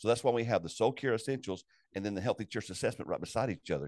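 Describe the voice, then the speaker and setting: Very fast speech with a dry, close sound and no echo. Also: man. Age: 60s. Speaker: executive director of a pastor support network. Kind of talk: casual interview.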